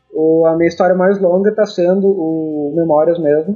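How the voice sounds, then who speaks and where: This man has a high-pitched voice, keeps his intonation fairly even and talks at a moderate pace. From Brazil, Rio Grande do Sul interior (Rosário do Sul). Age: 40s. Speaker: cartoonist. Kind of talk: interview conversation. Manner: halting, repeats words.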